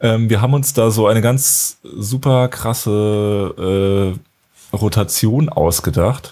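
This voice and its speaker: At a very slow pace, a man with a fairly low pitch speaks with very even loudness. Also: ordinary pitch variation. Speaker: podcast host and runner. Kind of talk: casual chat. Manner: halting, slips of the tongue.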